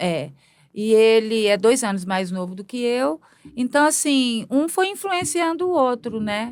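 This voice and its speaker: With very wide pitch swings, this woman talks at a fairly slow pace in a fairly high voice. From Brazil, Belo Horizonte (Minas Gerais). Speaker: multimedia artist and performer. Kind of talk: podcast interview. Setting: studio. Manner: halting.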